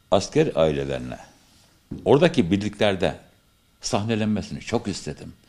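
With vocal fry and a fairly low pitch, a man speaks at a moderate pace, leaving long, frequent pauses. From Turkey, Kayseri; Turkey. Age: 50s. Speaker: amateur theatre actor. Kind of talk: interview. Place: hall. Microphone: studio mic.

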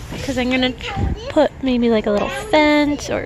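With crowd noise in the background, a woman with a high pitch talks at a very slow pace in a dry sound with no echo. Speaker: parent vlogger. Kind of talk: casual vlog chat. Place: garden. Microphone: phone near.

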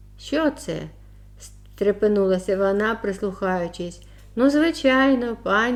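The passage is read aloud plainly. Nothing more is done than reading it.

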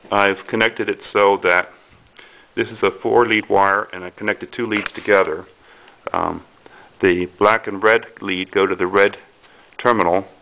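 Speaking in a monotone, flat way, a man with a fairly low pitch keeps a moderate pace broken by long, frequent pauses. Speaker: hobbyist demonstrator. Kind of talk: tutorial. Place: home room. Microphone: phone near.

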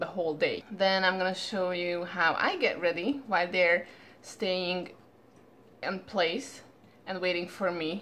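Light background noise sits under a woman's voice. She speaks at a fairly slow pace with fairly even intonation. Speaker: dog trainer. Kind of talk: casual vlog chat. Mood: relaxed morning, just woke up. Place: home room. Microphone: phone near.

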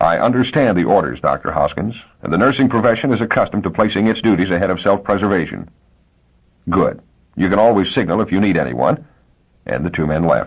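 Fairly low in pitch and showing vocal fry, a man talks at a fairly quick pace with lively intonation and long, frequent pauses. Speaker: audiobook narrator. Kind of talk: literary audiobook narration of a short story. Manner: measured, expressive storytelling voice.

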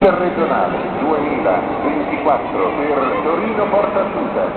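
A man's voice carries audible room echo. Loud background noise is present. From Italy. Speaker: voice actor. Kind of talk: train station announcement. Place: station. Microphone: pa.

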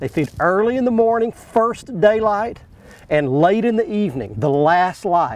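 Dry, echo-free sound from a man. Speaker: fishing show host. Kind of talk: tutorial commentary to camera. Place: boat.

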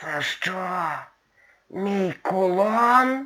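A man's put-on character voice, high-pitched, with ordinary pitch variation.

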